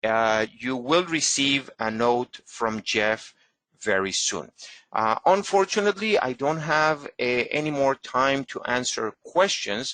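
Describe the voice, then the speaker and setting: Against a quiet background, a man with a Spanish accent speaks very slowly at medium pitch, his bright, sharp tone and lively intonation captured in a dry, close sound with no echo. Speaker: genealogist. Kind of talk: webinar lecture with Q&A. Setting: online webinar. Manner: halting, many fillers.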